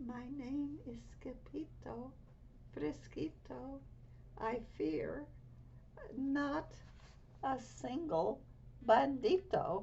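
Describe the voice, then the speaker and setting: Using a put-on character voice, a woman talks soft-spoken and shaky at a very slow pace, with clear background noise. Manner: very soft, trembling.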